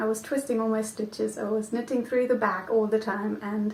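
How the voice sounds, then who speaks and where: A woman's voice amid noticeable background noise. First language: not English. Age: 20s. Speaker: knitting podcaster. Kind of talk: casual vlog chat. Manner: hesitant, many ums.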